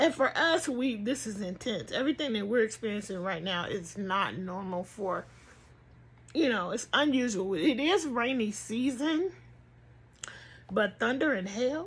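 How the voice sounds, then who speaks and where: On a very clean recording with a silent background, a woman with a fairly high, somewhat breathy voice speaks fairly slowly in a relaxed tone with lively intonation. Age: 50s. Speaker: crochet vlogger. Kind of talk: casual chat. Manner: relaxed, conversational.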